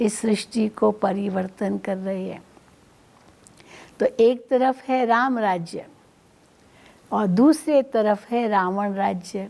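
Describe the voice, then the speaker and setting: A woman talks with a dark, mellow tone at a fairly high pitch and ordinary pitch variation. Her speech has long, frequent pauses. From India. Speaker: spiritual teacher. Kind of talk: spiritual talk.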